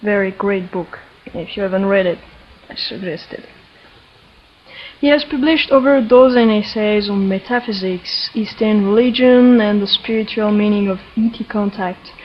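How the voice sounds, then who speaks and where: A woman speaks with a French accent at a fairly high pitch. Her pitch variation is ordinary, and there is noticeable background noise. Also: moderate pace. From France. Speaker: energy healer and interviewer. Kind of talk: introduction to interview.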